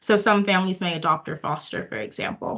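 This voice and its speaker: A woman with an American accent talks at a medium pitch. Her pace is very fast. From United States. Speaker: early years researcher and educator. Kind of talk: webinar presentation.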